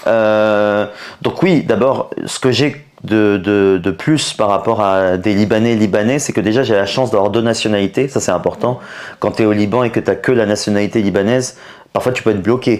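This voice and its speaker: Pitched fairly low, a man talks at a moderate pace with fairly even intonation. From France, Paris. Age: 30s. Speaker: comedian. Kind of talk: interview. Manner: hesitant, many fillers.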